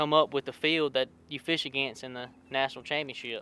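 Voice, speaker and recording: A man with a Louisiana accent speaks at a moderate pace in a bright, sharp, fairly high voice with monotone, flat intonation, the sound dry and close with no echo. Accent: Louisiana Southern US. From Louisiana (Pineville). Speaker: college bass angler. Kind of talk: interview. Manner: hesitant, many fillers and repeats.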